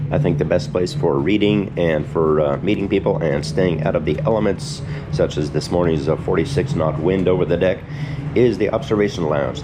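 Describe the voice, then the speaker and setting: Over noticeable background noise, a man with a very deep, low pitch talks fairly quickly with lively intonation and very even loudness. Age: 60s. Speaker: retired solo cruise traveler. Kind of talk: casual travel vlog talk to camera. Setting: outdoors. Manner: relaxed, hesitant with fillers.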